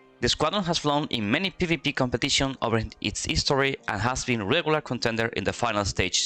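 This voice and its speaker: Bright and sharp in tone, a man with a Spanish accent speaks fairly quickly at medium pitch with lively intonation, recorded dry and close with no echo. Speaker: esports commentator. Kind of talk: live commentary. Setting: live stream. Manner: halting.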